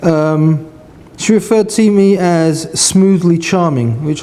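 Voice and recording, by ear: In a southern English accent, a man speaks at a fairly high pitch with a dark, mellow tone and audible room echo. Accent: British, educated southern English.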